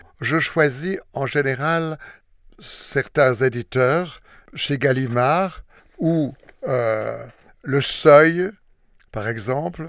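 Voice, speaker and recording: Long, frequent pauses break up very slow speech with ordinary pitch variation, heard in a very clean recording with a silent background. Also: man, fairly high pitch for a man. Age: 80s+. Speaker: retired diplomat and volunteer audiobook reader. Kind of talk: interview. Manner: hesitant, with fillers.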